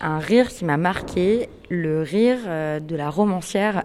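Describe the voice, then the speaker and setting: This woman's voice has a fairly low pitch. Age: 20s. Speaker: journalist and podcast host. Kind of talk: interview questionnaire. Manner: hesitant, many fillers.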